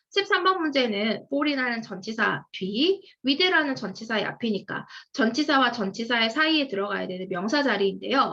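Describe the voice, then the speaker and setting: Her pitch is fairly high and swings very widely. This woman has a bright, sharp tone and keeps a moderate pace. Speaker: English grammar lecturer. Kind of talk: lecture.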